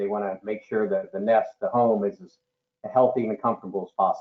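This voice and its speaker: Using an ordinary speaking voice, a man speaks at medium pitch and a moderate pace with fairly even intonation. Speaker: duct cleaning business owner. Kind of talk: webinar panel discussion. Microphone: too far from the mic, hard to hear.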